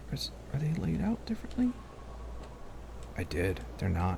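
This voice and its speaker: There's noticeable background noise in this clip. Through it, a man talks. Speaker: gaming video creator. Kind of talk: let's play commentary. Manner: casual thinking aloud.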